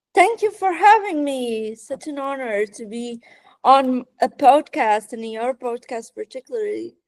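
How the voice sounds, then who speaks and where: Speaking at a fairly slow pace in a Portuguese accent, a woman uses a high pitch and lively intonation with big swings in loudness, captured in a dry, close sound with no echo. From Portugal. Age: 20s. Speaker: fashion writer, former designer. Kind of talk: podcast interview. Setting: online call. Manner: halting, repeats words.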